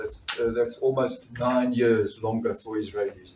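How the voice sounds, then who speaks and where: At a fairly slow pace, a man speaks in a South African accent. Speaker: doctor and trade union activist. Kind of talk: political speech. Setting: conference fringe meeting with audience.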